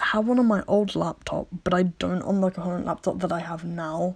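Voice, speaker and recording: A woman's mumbling with fairly even intonation. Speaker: digital artist. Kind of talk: casual product review to camera. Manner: mumbling, hesitant with fillers.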